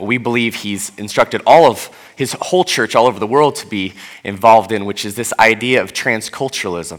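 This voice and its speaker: With a plain, everyday voice at medium pitch, a man talks at a fairly quick pace, with ordinary pitch variation and big swings in loudness. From US Pacific Northwest (Seattle). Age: 30s. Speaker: pastor. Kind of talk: sermon. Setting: church.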